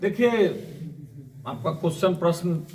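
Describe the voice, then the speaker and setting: Lively intonation with audible room echo and noticeable background noise. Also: man. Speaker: social worker. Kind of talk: interview.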